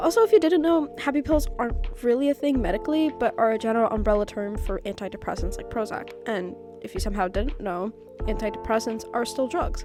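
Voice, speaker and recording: A woman talks very fast while music plays in the background. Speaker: video essayist. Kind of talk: video essay commentary.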